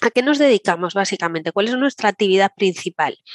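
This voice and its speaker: This woman talks at a very fast pace with lively intonation. The sound is dry and close, with no echo. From Galicia, Santiago de Compostela. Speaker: director of a senior education association. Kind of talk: interview.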